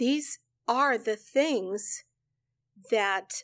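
In a very clean recording with a silent background, a woman with an American accent speaks very slowly at a high pitch, with ordinary pitch variation. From central Illinois. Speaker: church receptionist. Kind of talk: casual interview.

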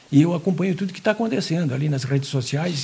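Here a man talks at a very fast pace. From Santa Catarina, Brazil (Jaraguá do Sul). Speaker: journalist. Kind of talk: casual interview chat.

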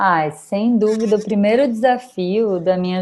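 A woman with a medium-pitched, dark, mellow tone speaks at a fairly slow pace against a quiet background. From Brazil, Bahia (Salvador). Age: 30s. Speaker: travel influencer. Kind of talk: interview conversation.

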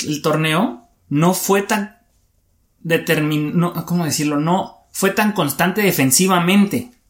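A high-pitched man talks with lively intonation, taking a fairly slow pace. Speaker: sports podcast co-host. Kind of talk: casual chat.

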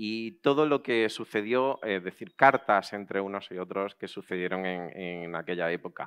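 With ordinary pitch variation and a fairly low pitch, a man is heard in a dry, close sound with no echo. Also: quiet background. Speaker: event host. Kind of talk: welcome speech at a live event. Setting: outdoor patio with audience. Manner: halting, with hesitations and repeated words.

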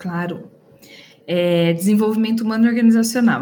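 A woman's somewhat breathy, dark, mellow voice at a medium pitch, with ordinary pitch variation. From Brazil, Campinas (interior of São Paulo state). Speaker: HR manager. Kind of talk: interview.

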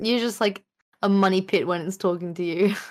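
With a normal speaking voice, a woman talks at a medium pitch with fairly even intonation, on a very clean recording with a silent background. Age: 20s. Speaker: streamer and game design student. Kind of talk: casual chat.

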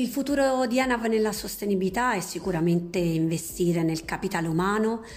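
This woman's pitch moves up and down in an ordinary way. She keeps to a moderate speed. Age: 40s. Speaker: sustainability manager. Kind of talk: prepared testimony. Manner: hesitant, filler sounds.

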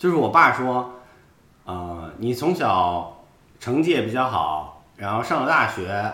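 With very wide pitch swings, a man speaks at a very slow pace amid audible room echo. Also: medium pitch for a man. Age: 30s. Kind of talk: casual interview chat.

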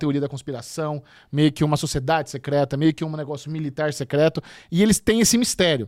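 A man at a fairly high pitch, in a very clean recording with a silent background. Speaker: podcast host. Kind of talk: casual chat.

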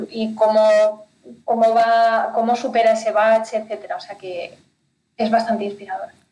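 An unremarkable speaking voice from a woman, fairly high-pitched, fairly even in intonation, at a moderate pace. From Spain, Pyrenees (north). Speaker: finance consultant for entrepreneurs. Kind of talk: interview.

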